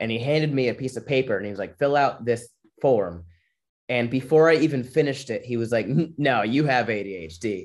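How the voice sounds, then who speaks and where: Speaking at a fairly quick pace, a man with a medium pitch has an unremarkable speaking voice and ordinary pitch variation. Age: 20s. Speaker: comedian. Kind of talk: casual chat.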